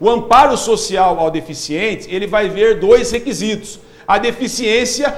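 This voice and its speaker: Over noticeable background noise, a man talks at a fairly slow pace in an extremely high pitch with ordinary pitch variation. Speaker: social security advisor. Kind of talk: live TV Q&A.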